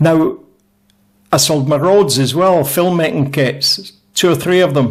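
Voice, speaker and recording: This man has a Scottish accent. He speaks at a fairly slow pace with ordinary pitch variation. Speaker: YouTuber reviewing audio gear. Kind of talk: casual product review talk. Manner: conversational, self-interrupting.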